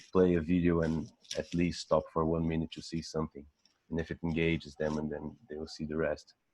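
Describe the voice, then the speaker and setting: A man speaks with a Brazilian accent at a moderate pace. His voice is very deep and low. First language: Portuguese. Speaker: photographer. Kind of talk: interview. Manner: halting.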